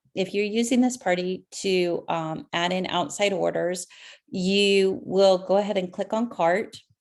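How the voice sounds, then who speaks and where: A woman talks fairly slowly, at a medium pitch, with ordinary pitch variation. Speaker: direct sales consultant. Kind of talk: screen-share tutorial. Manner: hesitant, many ums.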